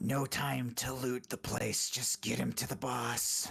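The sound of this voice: Using a put-on character voice, a man speaks raspy and fairly slow at medium pitch with ordinary pitch variation, light background noise behind him.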